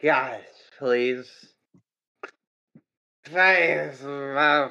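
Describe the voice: Pitched low-to-middle, the voice is a put-on character voice.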